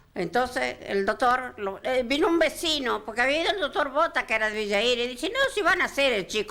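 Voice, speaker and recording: A raised, projected voice moves at a fairly quick pace with very wide pitch swings. Noticeable background noise is present. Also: woman. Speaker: grandmother recounting childbirth. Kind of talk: interview answer.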